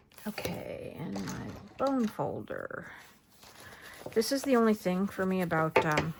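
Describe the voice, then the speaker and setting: Long, frequent pauses break up the fairly slow speech, with noticeable background noise throughout. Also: woman. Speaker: crafter. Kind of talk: tutorial. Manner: soft-spoken.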